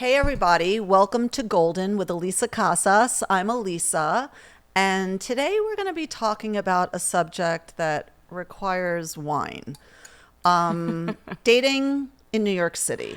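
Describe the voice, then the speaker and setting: A woman with a medium-pitched, ordinary speaking voice talks at a fairly slow pace. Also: lively intonation. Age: 60s. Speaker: podcast host. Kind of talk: casual chat. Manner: casual, with fillers.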